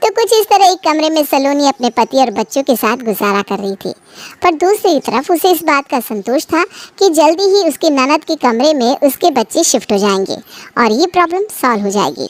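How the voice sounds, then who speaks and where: A woman does a cartoonish character voice at a high pitch. Her pitch swings very widely at a moderate pace. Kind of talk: bedtime story. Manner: smooth, steady narration.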